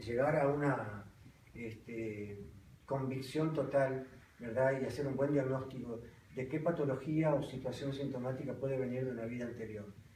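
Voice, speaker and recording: At a fairly slow pace, a man talks at a medium pitch with ordinary pitch variation, with audible room echo and noticeable background noise. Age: 60s. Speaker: psychologist and teacher of alternative therapy. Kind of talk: online lecture with audience questions. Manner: halting, many fillers and repetitions.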